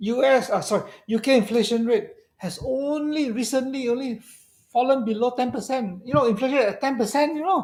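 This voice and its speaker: An animated man at an extremely high pitch, fairly quick pace and ordinary pitch variation, on a very clean recording with a silent background. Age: 60s. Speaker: fund manager. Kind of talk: interview on a live stream.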